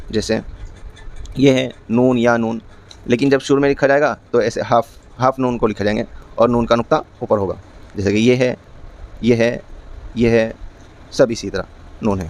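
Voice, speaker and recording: An unremarkable speaking voice from a man, medium pitch, fairly even intonation. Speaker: Quran teacher. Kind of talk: Quran lesson teaching, explaining letter shapes.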